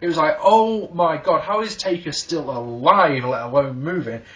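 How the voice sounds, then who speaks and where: A man with an English accent speaks at a high pitch in an animated tone, his intonation lively. Noticeable background noise runs behind him. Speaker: wrestling reviewer. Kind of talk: video review. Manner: halting.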